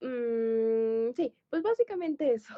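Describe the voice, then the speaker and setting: A woman speaks at a high pitch. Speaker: podcast co-host. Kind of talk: casual chat.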